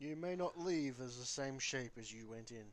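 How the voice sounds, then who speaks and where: Using a put-on character voice at medium pitch, a man speaks at a moderate pace. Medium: actual play. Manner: brash, bossy, ungrammatical.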